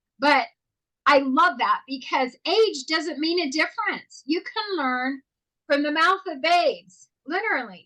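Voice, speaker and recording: A woman projects her voice at an extremely high pitch, bright and sharp in tone. She sounds animated, with lively intonation at a fairly slow pace. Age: 60s. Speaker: talk show co-host. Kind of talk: casual interview.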